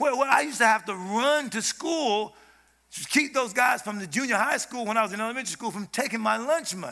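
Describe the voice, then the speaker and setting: In a raised, projected voice with an American accent, the speaker sounds animated, with a bright, sharp tone and ordinary pitch variation, in a very clean recording with a silent background. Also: man. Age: old. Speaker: preacher. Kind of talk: sermon. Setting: church stage with audience.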